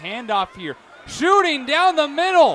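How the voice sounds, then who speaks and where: Speaking fairly slowly, a man swings his pitch very widely while noticeable background noise carries on behind him. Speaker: play-by-play announcer. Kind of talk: football play-by-play commentary. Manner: high-energy, smooth pacing.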